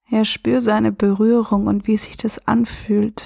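Speaking very slowly in a fairly high pitch, a woman sounds calm and soothing, somewhat breathy and dark and mellow, with monotone, flat intonation and a dry, close sound with no echo. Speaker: self-love and relationship coach; podcast host. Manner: slow, calm and soothing with long pauses, gentle and warm; reflective, conversational, with filler words.

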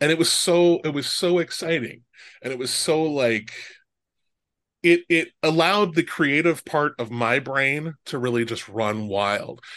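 With an American accent, a man speaks in an ordinary speaking voice with a fairly high pitch. His intonation is lively and his pace fairly slow. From Omaha, Nebraska. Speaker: podcast host. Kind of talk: casual interview chat.

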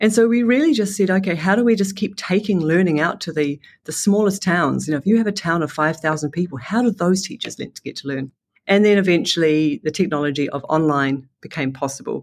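Speaking at a fairly quick pace, a woman with a New Zealand accent has a fairly low pitch. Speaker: education entrepreneur. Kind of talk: interview. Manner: halting.

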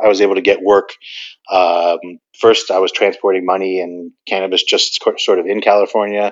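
A man with an American accent delivers his words at a moderate pace, at fairly low pitch, in a flat monotone. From New Jersey. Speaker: cannabis entrepreneur. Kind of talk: podcast interview.

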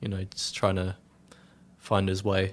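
In an Australian accent, a man with a fairly low pitch speaks on a very clean recording with a silent background. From Melbourne, Australia, then Tasmania. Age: 20s. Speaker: young family carer. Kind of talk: interview. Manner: hesitant, many fillers.

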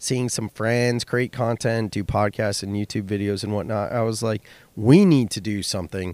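A man with a Californian accent talks at a moderate pace in a medium-pitched voice. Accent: Californian American. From US West Coast (Silicon Valley, California). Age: 30s. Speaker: podcast host and business owner. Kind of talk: solo podcast monologue.

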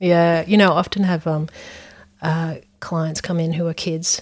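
The woman has an Australian accent and a fairly low pitch. She keeps a moderate pace with monotone, flat intonation. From Brisbane, Australia. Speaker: psychologist and podcast host. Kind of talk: casual interview chat.

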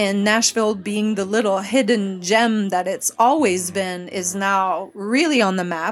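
In a very clean recording with a silent background, a woman with a Quebec accent speaks at a fairly slow pace and medium pitch, with ordinary pitch variation and hardly any pauses. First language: French. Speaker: interior designer and firm owner. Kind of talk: casual interview. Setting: live event party.

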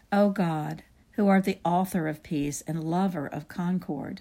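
At a fairly slow pace, a woman with a medium pitch speaks in a solemn tone that is dark, mellow and somewhat breathy, with ordinary pitch variation. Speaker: prayer leader. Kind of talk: liturgical prayer, fervent and devout, read aloud in unison with co-leader. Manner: earnest, solemn, reverent, with steady liturgical cadence.

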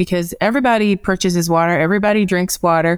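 A woman with an American accent has a plain, everyday voice at a fairly low pitch with ordinary pitch variation, in a very clean recording with a silent background. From US Midwest (Evanston, Illinois). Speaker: marketing and analytics manager. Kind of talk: interview.

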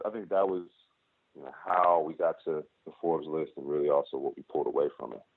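A man with an American accent at a fairly quick pace, with big swings in loudness. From Chicago, South Side. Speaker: startup co-founder and investor. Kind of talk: interview. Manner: casual.

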